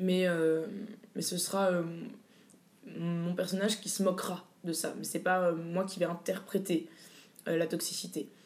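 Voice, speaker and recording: A woman speaks at a fairly slow pace in a fairly low pitch, her intonation flat and monotone, with long, frequent pauses. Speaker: drag king performer. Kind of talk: interview. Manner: halting, many hesitations.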